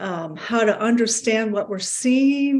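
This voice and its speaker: A woman speaks at a fairly slow pace with ordinary pitch variation and a plain, everyday voice. The recording is very clean, with a silent background. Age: 60s. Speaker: heart health program participant. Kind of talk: casual chat.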